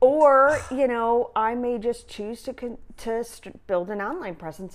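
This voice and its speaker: At a moderate pace and with lively intonation, an unremarkable speaking voice comes through over a quiet background. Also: woman. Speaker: recreational therapist and yoga teacher. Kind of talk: casual interview chat.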